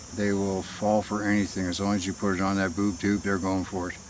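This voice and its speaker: Background noise is noticeable. Beneath it, a man talks in a fairly low voice. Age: 60s. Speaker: conspiracy video blogger. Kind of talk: personal monologue. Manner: halting.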